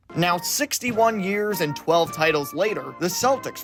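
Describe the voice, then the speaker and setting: A man talks at a moderate pace with music behind him. His pitch swings very widely. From Pennsylvania, USA. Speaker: TV news reporter and anchor. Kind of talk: TV news reporting.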